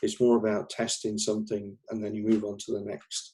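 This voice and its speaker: A man speaks with a dark, mellow tone at a moderate pace. His pitch is fairly low. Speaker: researcher presenting his master's research. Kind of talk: conference talk. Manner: halting, many fillers.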